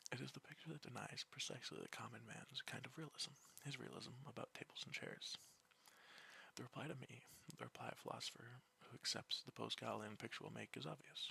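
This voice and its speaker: The voice is soft-spoken. It moves at a very fast pace. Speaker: student. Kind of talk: philosophy text reading.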